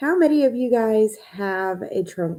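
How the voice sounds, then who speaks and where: A woman's voice, dark and mellow in tone, with lively intonation. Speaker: writing coach. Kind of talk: live stream talk. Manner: animated.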